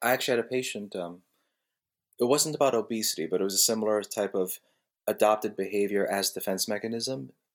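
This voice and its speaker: On a very clean recording with a silent background, a man with an American accent talks at a very fast pace and a fairly low pitch. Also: ordinary pitch variation. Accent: New Jersey, consciously toned down. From New Jersey, Jersey City. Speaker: osteopathic physician podcast co-host. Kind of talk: casual chat.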